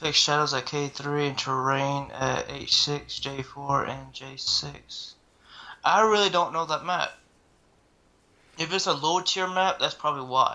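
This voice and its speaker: Fairly slow delivery in a Southern US accent. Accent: Southern drawl. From US South. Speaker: gaming video host, streamer. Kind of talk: casual chat, reading patch notes.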